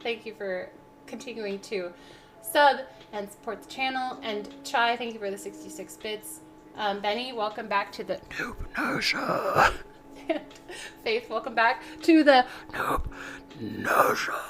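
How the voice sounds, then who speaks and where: Over noticeable background noise, a woman with a fairly high pitch speaks at a fairly slow pace, with big swings in loudness and long, frequent pauses. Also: ordinary pitch variation. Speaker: livestreamer cooking on stream. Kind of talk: casual livestream chat while baking. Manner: animated.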